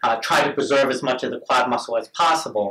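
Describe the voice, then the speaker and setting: This man has an unremarkable speaking voice with ordinary pitch variation. He talks at a fairly quick pace. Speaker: orthopedic surgeon. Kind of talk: interview with patient.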